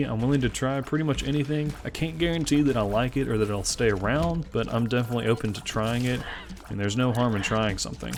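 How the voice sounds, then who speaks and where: A man with an American accent talks very fast at a medium pitch with ordinary pitch variation. Noticeable background noise can be heard. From US South, Memphis, Tennessee. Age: 20s. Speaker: gaming YouTuber. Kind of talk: gameplay commentary. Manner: frequent filler uh, unscripted.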